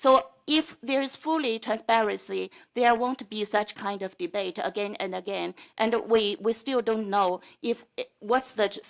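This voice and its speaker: Fairly slow and fairly high in pitch, a woman talks with a non-native accent. Her pitch varies in an ordinary way. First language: not English. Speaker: school board trustee. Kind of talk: board meeting debate. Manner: halting.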